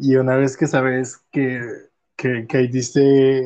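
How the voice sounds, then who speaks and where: Over a quiet background, a man with a Mexican accent and a dark, mellow tone speaks at a very slow pace. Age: 20s. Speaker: podcast host. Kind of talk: casual chat.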